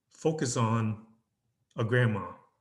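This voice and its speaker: A somewhat breathy man talks at a medium pitch with ordinary pitch variation. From Vietnam. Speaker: business relations specialist and photographer. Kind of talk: interview answer.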